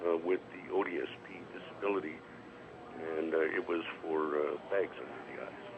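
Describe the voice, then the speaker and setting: Noticeable background noise runs under speech at a moderate pace that swings widely in loudness and has long, frequent pauses. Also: man. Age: 60s. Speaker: caller. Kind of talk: phone-in question. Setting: phone call. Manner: hesitant, many fillers.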